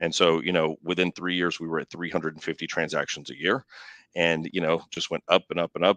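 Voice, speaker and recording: In a Texan accent, a man speaks fairly quickly in a very deep, low voice with ordinary pitch variation. The sound is dry and close with no echo, against a quiet background. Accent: Texan Southern US. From East Texas. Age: 40s. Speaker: real estate executive. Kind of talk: interview. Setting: live online show. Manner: casual, hesitant with fillers.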